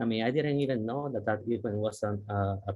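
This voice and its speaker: A man speaks with a Puerto Rican accent. His pace is fairly quick. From Puerto Rico, southern part of the island. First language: Spanish. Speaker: university diversity dean, scientist. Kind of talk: workshop talk. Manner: halting, many fillers.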